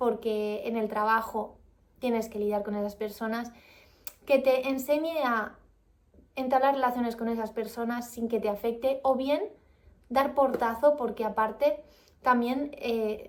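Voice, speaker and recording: A woman's fairly high, calm voice with fairly even intonation and long, frequent pauses. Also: fairly slow pace. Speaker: vlogger. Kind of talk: book review vlog.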